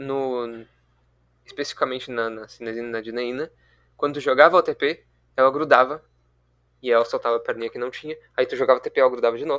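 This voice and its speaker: A man at a very fast pace, with long, frequent pauses, fairly even intonation and big swings in loudness, against a quiet background. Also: medium pitch for a man. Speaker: student tutor leading review session. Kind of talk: online review class.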